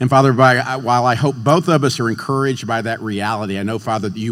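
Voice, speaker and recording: A man speaks at a fairly quick pace with a plain, everyday voice. His medium pitch shows ordinary pitch variation. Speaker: minister. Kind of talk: introduction and opening prayer. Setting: stage with audience.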